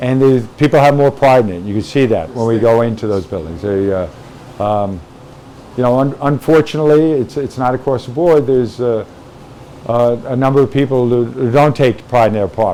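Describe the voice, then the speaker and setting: A man of medium pitch talks fairly quickly with ordinary pitch variation, with noticeable background noise behind him. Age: 60s. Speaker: firefighter captain. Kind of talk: interview. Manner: halting, many fillers.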